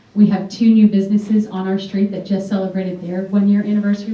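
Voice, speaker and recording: Against noticeable background noise, a woman talks at a very fast pace with medium pitch. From US, Greek immigrant family. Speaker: political candidate and restaurant owner. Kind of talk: debate opening statement. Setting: library debate with audience.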